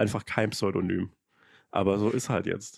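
A man speaks at a moderate pace in a fairly low voice. The sound is dry and close with no echo, the recording very clean with a silent background. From Lower Franconia, Germany. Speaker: Twitter comedian and influencer. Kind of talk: casual chat.

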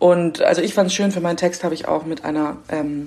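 A woman's unremarkable speaking voice, fairly low in pitch, at a moderate pace. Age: 20s. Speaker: reporter. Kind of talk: casual interview.

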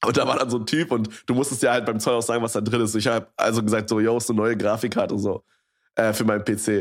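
A man at a medium pitch rattles along at a very fast pace, his intonation monotone and flat and his loudness very even, on a very clean recording with a silent background. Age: 20s. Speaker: podcast co-host. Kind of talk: casual chat. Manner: casual slangy, many fillers.

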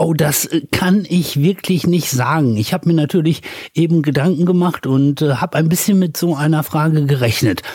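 Using an unremarkable speaking voice, a man talks at a fairly high pitch and moderate pace, with ordinary pitch variation and very even loudness. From Ruhr area, Germany (Dorsten). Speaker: radio host and DJ. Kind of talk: interview.

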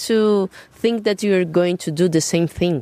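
Recorded dry and close with no echo, a woman speaks with a Portuguese accent. Her pitch is medium and her pace fairly slow. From Brazil, São Paulo. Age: 30s. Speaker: jazz drummer and singer. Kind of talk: casual interview. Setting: garden.

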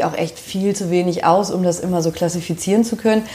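The speech shows ordinary pitch variation amid noticeable background noise. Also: woman. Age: 30s. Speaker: social worker and home decor enthusiast. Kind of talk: casual interview. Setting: at home in her kitchen.

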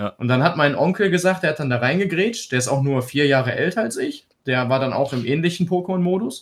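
A man's fairly high voice, very fast in pace and with lively intonation. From Krefeld, Lower Rhine, western Germany. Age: 30s. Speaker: Twitch streamer. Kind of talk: casual chat.

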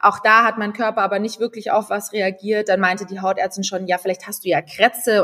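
Her voice is an unremarkable speaking voice, a woman at medium pitch talking at a fairly quick pace. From Munich, Bavaria, Germany. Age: 20s. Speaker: content creator and cancer survivor. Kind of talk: casual interview, personal story.

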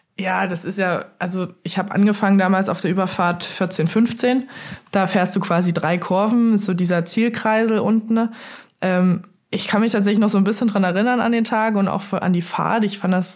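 A woman's somewhat breathy voice at a medium pitch, with fairly even intonation. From Saxony, Dresden. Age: 20s. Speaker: luge athlete. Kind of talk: interview.

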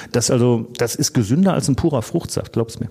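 At a fairly quick pace, a man talks at a medium pitch with a dark, mellow tone and ordinary pitch variation. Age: 50s. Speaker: podcast co-host, former publican and home brewer. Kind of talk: casual chat.

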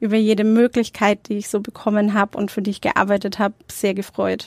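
The pace is fairly quick. The recording is very clean with a silent background, and the sound is dry and close with no echo. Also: woman. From Nuremberg, Franconia (Germany). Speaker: entrepreneur and food blogger. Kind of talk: interview.

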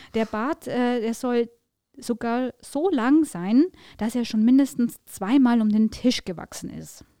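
Dark, mellow tone from a woman with a high pitch and ordinary pitch variation, at a very slow pace, with a dry, close sound with no echo and a very clean recording with a silent background. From Upper Palatinate, Bavaria (Tirschenreuth district). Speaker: newspaper editor, podcast co-host. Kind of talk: casual conversational podcast, storytelling.

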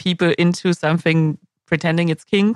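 With a German accent, a woman speaks at a moderate pace and a fairly low pitch, the sound dry and close with no echo. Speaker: podcast host. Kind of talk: casual interview.

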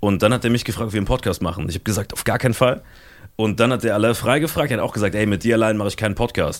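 Talking at a very fast pace, a man uses a fairly low pitch with ordinary pitch variation. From Germany, Saarland. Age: 20s. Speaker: podcaster and comedy agency founder. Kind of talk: casual chat.

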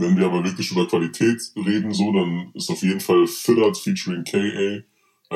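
Speech moves at a moderate pace. Its intonation is flat, in a monotone. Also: man. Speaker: podcast co-host, quiz master. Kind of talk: casual chat. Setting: video call.

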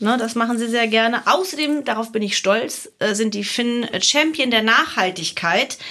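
This woman has a plain, everyday voice with a fairly high pitch. She speaks at a moderate pace with lively intonation. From Germany, Hilden near Cologne. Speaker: podcast host. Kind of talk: casual chat.

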